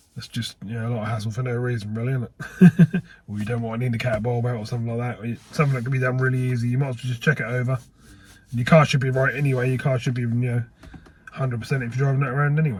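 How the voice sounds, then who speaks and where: Over noticeable background noise, a man speaks very fast in a medium pitch with fairly even intonation. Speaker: car mechanic youtuber. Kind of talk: casual workshop vlog.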